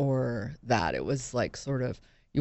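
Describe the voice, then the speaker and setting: An American accent marks this woman's speech. Her pitch is very deep and low, with vocal fry. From Western Massachusetts. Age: 40s. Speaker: executive advisor. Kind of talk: interview. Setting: studio.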